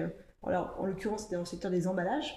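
Audible room echo surrounds a woman with a dark, mellow tone. She speaks at medium pitch with fairly even intonation. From France, Ardennes countryside. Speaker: operations director at a recycling company. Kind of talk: podcast interview.

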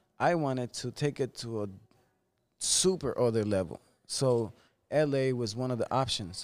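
With a Spanish accent, a man talks at a fairly slow pace. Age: 30s. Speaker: barber. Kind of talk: casual chat.

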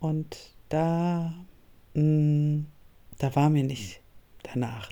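Her voice is dark and mellow, pitched very deep and low for a woman. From northern Germany. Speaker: podcast host and coach. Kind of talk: solo podcast monologue.

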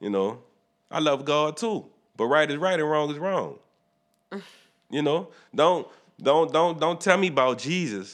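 In a New Orleans accent, a man with a fairly high pitch and lively intonation speaks at a fairly slow pace with long, frequent pauses against a quiet background. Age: 30s. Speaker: podcast host. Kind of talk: casual chat. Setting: studio.

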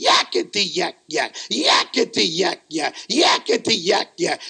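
Shouting in a shrill, put-on character voice, the speaker holds a middle pitch at a fairly slow pace. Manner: yelling.

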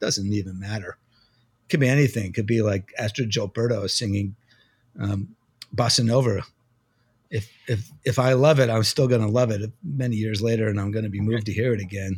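A man with an American accent speaks at a fairly quick pace in a fairly low, somewhat breathy voice with fairly even intonation. The recording is very clean, with a silent background. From New Jersey. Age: 50s. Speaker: music magazine editor and drummer. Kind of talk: interview conversation.

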